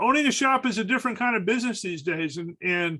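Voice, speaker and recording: Raising and projecting his voice, a man speaks at a fairly quick pace in a high, bright, sharp tone with very wide pitch swings. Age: 60s. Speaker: restoration shop owner. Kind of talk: casual roundtable discussion. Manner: halting, many fillers and repetitions.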